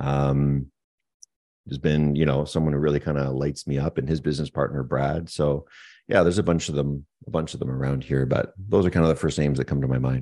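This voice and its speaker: With a Canadian accent, this dark, mellow voice moves at a fairly quick pace with fairly even intonation. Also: man, very deep, low pitch for a man. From eastern Canada (Moncton, New Brunswick). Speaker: tech entrepreneur. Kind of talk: interview.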